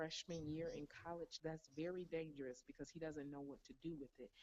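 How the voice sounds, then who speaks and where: A woman's quiet, dark and mellow voice at a very deep, low pitch. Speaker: network marketing top earner. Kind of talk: motivational interview answer.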